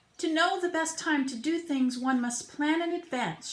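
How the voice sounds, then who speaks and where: A woman puts on a character voice with an extremely high pitch. She speaks at a moderate pace. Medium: read story.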